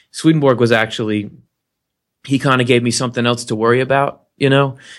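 A man talks at a medium pitch in a normal speaking voice, with fairly even intonation. The recording is very clean, with a silent background. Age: 30s. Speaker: webcast host on spirituality. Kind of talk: casual interview chat.

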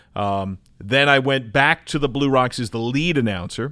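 A man's bright, sharp tone with an American accent, ordinary pitch variation and a fairly slow pace. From New Jersey. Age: 40s. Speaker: baseball TV play-by-play announcer. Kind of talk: casual chat. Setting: studio.

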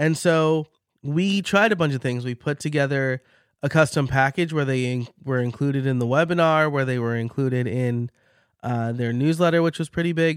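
A man speaks at a fairly high pitch. The recording is very clean with a silent background and a dry, close sound with no echo. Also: ordinary pitch variation, moderate pace. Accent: slight New York. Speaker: podcast coach and host. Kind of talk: solo educational monologue. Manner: conversational, informal.

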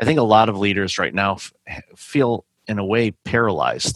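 On a very clean recording with a silent background and a dry, close sound with no echo, a man with a plain, everyday voice speaks at a moderate pace and a fairly low pitch. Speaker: podcast host and keynote speaker. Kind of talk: interview.

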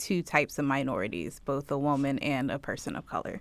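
Noticeable background noise is audible. A woman does the talking. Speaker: podcast co-host. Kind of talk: casual interview conversation.

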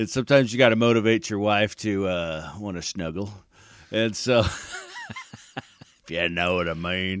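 Fairly slow speech with ordinary pitch variation over noticeable background noise. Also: man, fairly low pitch for a man. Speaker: podcast co-host. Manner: casual, joking.

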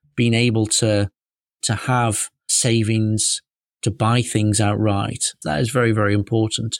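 A man with a British accent speaks at a fairly slow pace. The recording is very clean with a silent background and sounds dry and close, with no echo. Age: 30s. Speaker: financial adviser podcast host. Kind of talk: solo podcast monologue.

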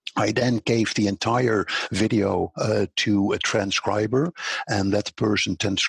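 Very slowly and somewhat breathily, a man with a Dutch accent speaks at a fairly low pitch with ordinary pitch variation, in a dry, close sound with no echo. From Netherlands. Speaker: social media consultant. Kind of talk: interview.

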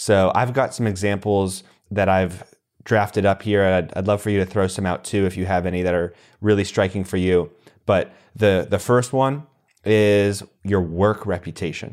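A man with an American accent and an unremarkable speaking voice talks at a fairly low pitch and a moderate pace with fairly even intonation, on a very clean recording with a silent background. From US East Coast. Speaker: podcast host. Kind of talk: podcast interview.

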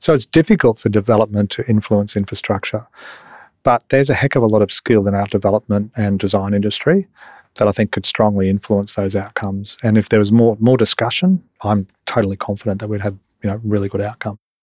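At a very fast pace, a man with an Australian accent speaks at a fairly low pitch with fairly even intonation, in a dry, close sound with no echo and a very clean recording with a silent background. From Brisbane, Australia. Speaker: architect. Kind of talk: interview.

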